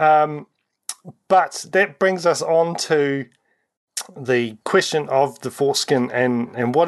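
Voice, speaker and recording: This man speaks with a New Zealand accent at a fairly high pitch. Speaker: community radio host. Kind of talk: interview.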